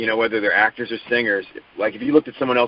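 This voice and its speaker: A fairly low-pitched man speaks with fairly even intonation. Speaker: soap opera actor. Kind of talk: interview.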